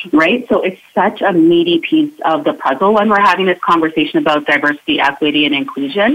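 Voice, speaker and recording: A woman's fairly low voice at a fairly quick pace, with very wide pitch swings, very even loudness and noticeable background noise. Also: hardly any pauses. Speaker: inclusion coach. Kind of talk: radio interview, explanatory.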